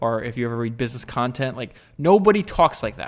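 A man is speaking here. His tone is animated. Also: very clean recording, silent background. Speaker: podcast host. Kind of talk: podcast monologue summarizing another interview. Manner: casual, conversational; animated, fast.

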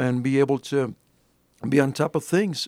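With an American accent, a man talks in an ordinary speaking voice at fairly high pitch and moderate pace. The sound is dry and close, with no echo. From Alpine, West Texas. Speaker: ordained minister and county judge candidate. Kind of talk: interview.

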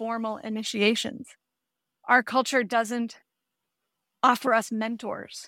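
Very slowly, a woman speaks in a fairly high pitch with a bright, sharp tone and fairly even intonation. The sound is dry and close with no echo, on a very clean recording with a silent background. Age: 40s. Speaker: midlife mindset coach. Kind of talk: interview.

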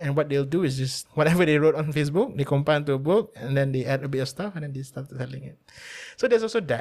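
A man with a Malaysian accent talks at a very fast pace in a somewhat breathy voice. His pitch is fairly high with ordinary variation. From Malaysia (Melaka). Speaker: radio producer. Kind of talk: casual interview.

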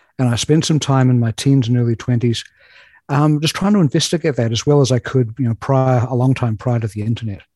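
A man's medium-pitched, somewhat breathy voice with a dark, mellow tone and a New Zealand accent, at a very fast pace, with a dry, close sound and no echo. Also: ordinary pitch variation. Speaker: writer. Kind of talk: casual chat.

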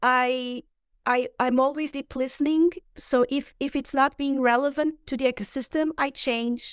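On a very clean recording with a silent background, a woman speaks at a high pitch and moderate pace in a monotone, flat intonation, the sound dry and close with no echo. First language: Portuguese. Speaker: ecologist and impact investor. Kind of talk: casual interview conversation. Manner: halting, searching for words.

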